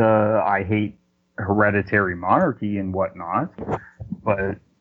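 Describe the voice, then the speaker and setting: Speaking fairly slowly with an ordinary speaking voice, a man talks at a fairly low pitch with a Canadian accent. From Canada. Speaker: business consultant. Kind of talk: debate. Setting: phone call.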